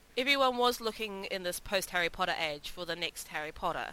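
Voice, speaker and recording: At a fairly quick pace, a woman talks in an ordinary speaking voice, medium in pitch with ordinary pitch variation. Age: 20s. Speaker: podcast co-host. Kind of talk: casual chat.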